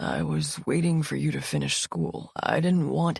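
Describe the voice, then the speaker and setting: A man in a put-on character voice at a moderate pace. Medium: read story. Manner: gentle, subdued.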